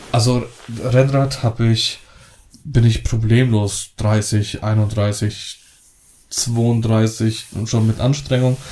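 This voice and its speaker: Very slow and broken by long, frequent pauses, a man's somewhat breathy voice carries a dark, mellow tone and a monotone, flat intonation. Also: medium pitch for a man, very even loudness. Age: 30s. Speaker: wedding photographer and podcast co-host. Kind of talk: casual chat.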